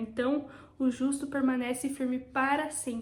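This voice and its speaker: This woman's voice sits high in pitch and keeps a moderate speed. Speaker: devotional video host. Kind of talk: bible devotional teaching.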